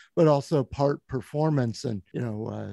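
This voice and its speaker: A man speaks at medium pitch and a moderate pace with ordinary pitch variation, his dark, mellow tone captured in a dry, close sound with no echo. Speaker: podcast host and interviewer. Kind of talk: interview question.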